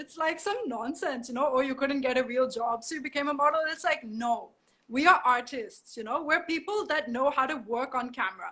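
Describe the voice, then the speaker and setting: A woman's high-pitched, raised, projected voice, bright and sharp in tone, with lively intonation and a fairly quick pace. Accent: strong German. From Germany. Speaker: model. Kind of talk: interview.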